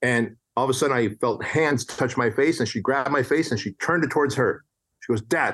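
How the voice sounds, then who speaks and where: Against a quiet background, a man speaks fairly quickly at a medium pitch, with ordinary pitch variation and very even loudness. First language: non-English. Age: 40s. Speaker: entrepreneur and author. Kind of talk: casual interview chat.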